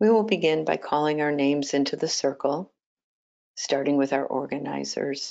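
The voice moves at a fairly slow pace with ordinary pitch variation. The background stays quiet. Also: woman. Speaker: meditation group facilitator. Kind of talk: guided meditation instructions. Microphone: video call.

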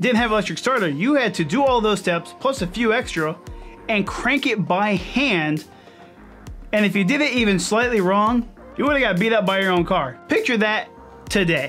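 There is faint music in the background. Over it, a man speaks at a moderate pace. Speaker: car vlogger. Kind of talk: casual vlog chat. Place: home room. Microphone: studio mic.

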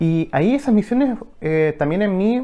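A man speaks with a Chilean accent. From Chile, Valparaíso region. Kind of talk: testimony. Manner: halting, many fillers. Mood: calm, reflective. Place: home room. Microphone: lapel.

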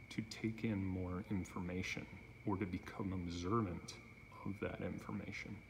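Over noticeable background noise, a man speaks with a very deep, low pitch, ordinary pitch variation and a fairly slow pace. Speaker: self-filming demonstrator. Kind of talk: explanatory monologue. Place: garage. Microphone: phone near.

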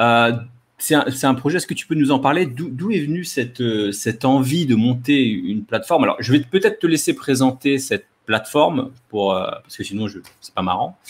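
Speaking at a moderate pace, a man uses lively intonation. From Normandy, France (born in Caen). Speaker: developer and freelance coach, channel host. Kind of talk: live-streamed interview. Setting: online live stream. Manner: hesitant, frequent repetitions. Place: home room. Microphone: studio mic.

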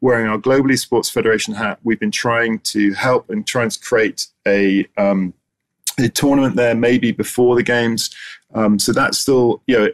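In a quiet background, a man with an English accent speaks at a moderate pace with ordinary pitch variation. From England. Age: 50s. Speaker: esports association founder. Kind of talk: conference presentation. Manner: halting. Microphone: webcam.

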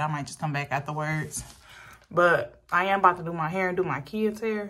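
A woman speaks at a fairly slow pace in a low pitch, with a fairly bright tone and ordinary pitch variation.

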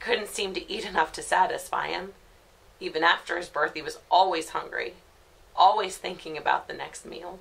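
A woman talks at a moderate pace with big swings in loudness. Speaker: actor playing a grieving mother. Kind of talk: dramatic monologue. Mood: grief-stricken, raw, pained. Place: home room.

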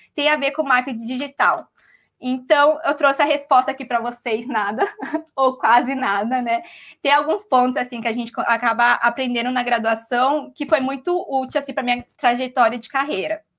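A woman's high voice moves at a moderate pace with ordinary pitch variation. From Mato Grosso, Brazil. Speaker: digital marketing coordinator; guest instructor. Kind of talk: online class lecture. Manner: casual, with many fillers. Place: home room. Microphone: video call.

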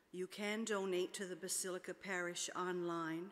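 At a moderate pace, a woman speaks with monotone, flat intonation. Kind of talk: liturgical announcements. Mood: calm, formal. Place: church. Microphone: podium.

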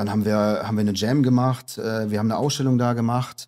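With a dark, mellow tone, a man speaks at a fairly low pitch in a monotone, flat intonation. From Rhineland, Aachen-Cologne region. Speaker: graffiti artist. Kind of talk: casual interview. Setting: in person by the sea. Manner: halting.

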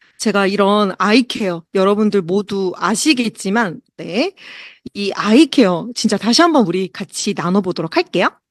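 Over a quiet background with a dry, close sound and no echo, a woman with a medium pitch speaks with lively intonation. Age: 40s. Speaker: product presenter. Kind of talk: sales pitch. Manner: slow.

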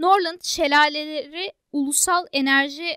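A woman's raised, projected voice, bright and sharp in tone with ordinary pitch variation, comes through as a dry, close sound with no echo on a very clean recording with a silent background. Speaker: exam prep tutor. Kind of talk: tutorial.

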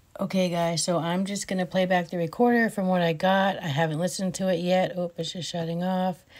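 Against a quiet background, the speech has fairly even intonation and hardly any pauses. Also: woman, fairly quick pace. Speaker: paranormal vlogger. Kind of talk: casual vlog chat. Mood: curious, slightly uneasy. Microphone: phone near.

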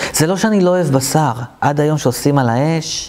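Man's speech, ordinary pitch variation. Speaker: meditation teacher. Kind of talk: talk to camera about personal experience. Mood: warm, humorous. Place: hall. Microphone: lapel.

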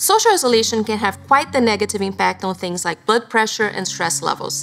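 There is faint music in the background. Over it, a woman speaks. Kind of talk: informational explainer to camera. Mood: warm, calm, caring. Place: studio.

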